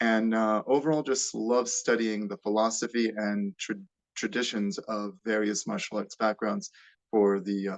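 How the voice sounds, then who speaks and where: Against a quiet background, a man with an American accent talks at a fairly slow pace with fairly even intonation. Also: fairly low pitch for a man. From United States. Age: 30s. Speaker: martial artist. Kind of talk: interview. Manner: halting, many fillers.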